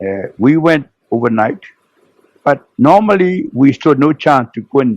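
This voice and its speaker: A man talks fairly slowly in a Burmese accent. His medium-pitched voice carries lively intonation. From Burma. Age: 90s. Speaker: retired naval officer. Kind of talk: interview storytelling. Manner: halting.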